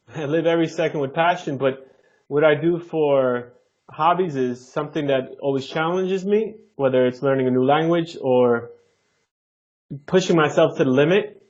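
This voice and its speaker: With a New Jersey accent, a man speaks at a moderate pace and a fairly high pitch. His pitch varies in an ordinary way. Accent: New Jersey American. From Jersey City, New Jersey, US. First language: Neapolitan Italian. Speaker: flight attendant and language learner. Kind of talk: podcast interview.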